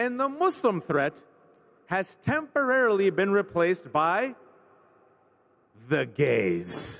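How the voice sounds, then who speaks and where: With an American accent, a man speaks very slowly at a high pitch, his pitch swinging very widely. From US West Coast, Bay Area California. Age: 40s. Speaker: speaker. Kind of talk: conference speech. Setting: stage with audience. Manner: animated.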